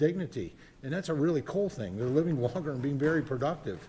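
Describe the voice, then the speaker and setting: Talking at a very fast pace, a man with a fairly high pitch and ordinary pitch variation sounds somewhat breathy. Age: 60s. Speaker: congressman. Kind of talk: committee debate. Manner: halting, many fillers.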